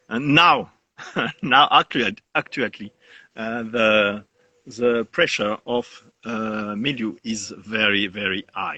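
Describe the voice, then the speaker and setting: A man's medium-pitched voice, bright and sharp in tone, with ordinary pitch variation, a very slow pace, long and frequent pauses, and a dry, close sound with no echo. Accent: French. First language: French. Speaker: winegrower. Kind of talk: interview. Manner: halting.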